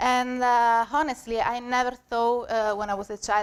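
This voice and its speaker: Monotone, flat intonation in a Sicilian accent, with a dry, close sound and no echo. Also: woman. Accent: Italian (Sicilian) accent, joked about. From Sicily, Italy. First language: Italian. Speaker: senior graphic designer, conference speaker. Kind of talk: conference talk. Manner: halting, many fillers.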